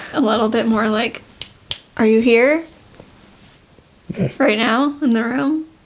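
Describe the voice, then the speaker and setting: Quiet and very even in loudness, a woman with a fairly high pitch speaks at a fairly slow pace with ordinary pitch variation and long, frequent pauses, over noticeable background noise. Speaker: podcast co-host. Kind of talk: casual chat.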